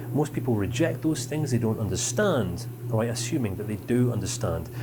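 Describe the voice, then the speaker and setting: In a Scottish accent, the speaker talks fairly quickly in an animated tone with ordinary pitch variation. Room echo is audible and background noise is noticeable. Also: man, medium pitch for a man. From Scotland, raised in northern England. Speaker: counselling course instructor. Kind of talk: lecture. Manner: animated, varied tone.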